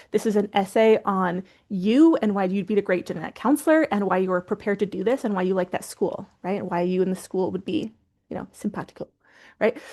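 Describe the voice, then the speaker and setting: Speaking at a very fast pace, a woman has a medium pitch and a dark, mellow tone. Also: ordinary pitch variation. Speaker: graduate admissions coach, business founder. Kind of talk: webinar presentation. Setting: online webinar.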